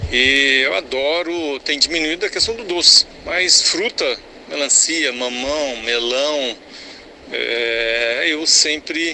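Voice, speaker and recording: Over noticeable background noise, a man speaks at a very slow pace in a fairly high pitch with ordinary pitch variation. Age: 60s. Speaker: listener, amateur runner. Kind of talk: recorded voice message. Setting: voice message played on radio show.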